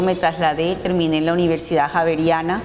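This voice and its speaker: This woman speaks in a Bogotá accent. Her pitch sits fairly low. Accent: Bogotá-like (cachaco). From Colombia, Cartagena. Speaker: business association president. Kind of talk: TV interview.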